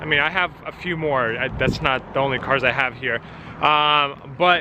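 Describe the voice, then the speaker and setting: Fairly slow speech from a man at a fairly high pitch, with ordinary pitch variation and noticeable background noise. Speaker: car dealer and vlogger. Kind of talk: vlog narration. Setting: in a car and on a car lot.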